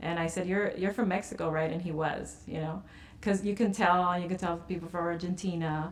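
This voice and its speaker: A woman speaks fairly quickly at a fairly low pitch. Her intonation is monotone and flat, with noticeable background noise. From East Los Angeles, US. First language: Spanish. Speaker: attorney and alumna. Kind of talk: oral history interview. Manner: halting, many fillers and restarts.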